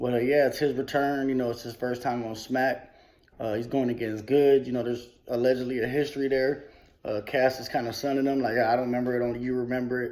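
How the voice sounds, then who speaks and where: Talking at a very fast pace, a man with an American accent keeps a medium pitch and monotone, flat intonation. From Milwaukee, US Midwest. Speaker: battle rap vlogger. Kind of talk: casual vlog commentary.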